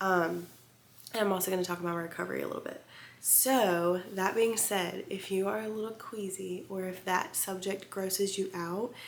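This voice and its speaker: The woman speaks at a moderate pace with fairly even intonation. Audible room echo surrounds her voice. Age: 20s. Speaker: vlogger, teacher on maternity leave. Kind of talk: casual storytime vlog. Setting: home video recording with ring light. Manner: chatty, frequent 'um' and 'like' fillers.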